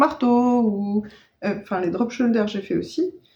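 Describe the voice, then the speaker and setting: A fairly slow pace, ordinary pitch variation and a dark, mellow tone. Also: woman. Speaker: knitting podcaster. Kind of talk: casual vlog chat. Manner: hesitant, many fillers.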